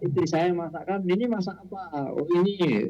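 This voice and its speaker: With music in the background, a man speaks at a high pitch and a moderate pace, using ordinary pitch variation. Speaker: elderly community member sharing on radio. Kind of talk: sharing on radio program.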